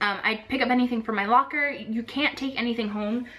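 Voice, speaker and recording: At a very fast pace, a woman talks in a fairly high pitch. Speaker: vlogger, former theme park housekeeper. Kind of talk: casual vlog talk.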